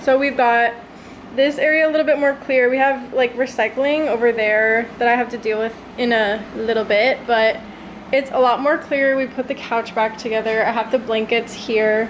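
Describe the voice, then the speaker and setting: Over noticeable background noise, a woman with an American accent talks in a high voice with fairly even intonation. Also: moderate pace. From United States. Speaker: lifestyle vlogger. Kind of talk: casual vlog narration. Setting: at home, apartment. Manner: casual, chatty.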